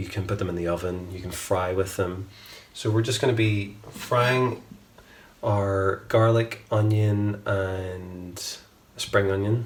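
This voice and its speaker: Speaking very slowly with a Northern Irish accent, a man has a fairly low pitch, fairly even intonation, and a relaxed tone. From Northern Ireland, Belfast. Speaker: home cook, cooking channel host. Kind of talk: cooking tutorial. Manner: casual, relaxed with fillers.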